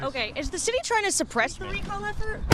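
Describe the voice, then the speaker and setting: With lively intonation, a woman talks over noticeable background noise. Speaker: TV news reporter. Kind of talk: TV news report.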